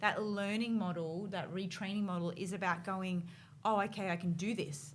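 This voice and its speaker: A woman with an Australian accent, somewhat breathy, at a moderate pace with fairly even intonation and audible room echo. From North Queensland, Australia. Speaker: podcast host. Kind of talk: casual interview chat.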